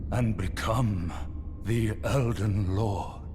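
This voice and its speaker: Amid loud background noise, a man uses a put-on character voice pitched fairly low. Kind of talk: epic fantasy prologue narration. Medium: game stream. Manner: slow, grave, portentous.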